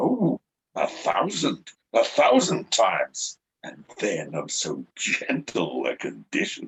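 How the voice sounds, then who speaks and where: A man performs a put-on character voice. His pace is fairly slow. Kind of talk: Shakespearean stage acting. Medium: stage play.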